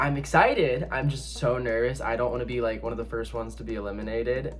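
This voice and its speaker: A man talks in a room with audible echo while music plays in the background. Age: 20s. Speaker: reality game contestant. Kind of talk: confessional video interview.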